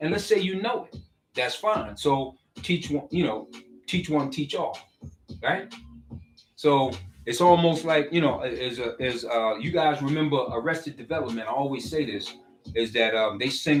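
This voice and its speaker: Music plays in the background as a man speaks at a moderate pace. His voice is fairly high and his intonation lively. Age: 60s. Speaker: social media commentator. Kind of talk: casual monologue. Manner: halting.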